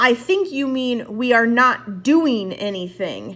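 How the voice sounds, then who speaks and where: A woman puts on a character voice, high-pitched and fairly slow, with lively intonation. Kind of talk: teacherly, precise. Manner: stern, corrective.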